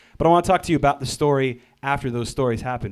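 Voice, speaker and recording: This man talks. He goes at a very fast pace. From India. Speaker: worship leader. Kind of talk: testimony.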